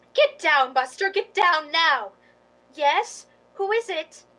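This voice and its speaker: Using a put-on character voice at an extremely high pitch, a woman speaks fairly slowly with lively intonation. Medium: stage play.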